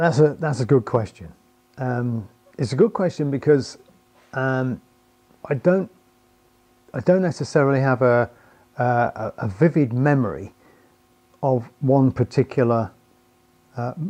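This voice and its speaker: A man with a British accent, medium pitch and a dark, mellow tone, at a fairly slow pace with long, frequent pauses and ordinary pitch variation. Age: 60s. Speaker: loudspeaker driver designer. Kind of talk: interview answer. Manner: halting, many fillers and repetitions.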